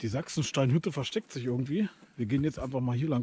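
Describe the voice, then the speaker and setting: A man talks at a very fast pace in a dark, mellow, somewhat breathy voice with ordinary pitch variation, a dry sound with no echo and light background noise. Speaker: hiking vlogger. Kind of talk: casual vlog chat. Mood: cheerful, curious. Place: forest. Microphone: phone near.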